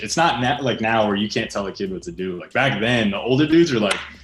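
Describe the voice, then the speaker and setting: Speaking at a fairly quick pace with lively intonation, a man uses an ordinary speaking voice with an American accent. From US East Coast, Reading, Pennsylvania. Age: 20s. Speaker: pro skateboarder. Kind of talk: interview. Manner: casual, filler-heavy.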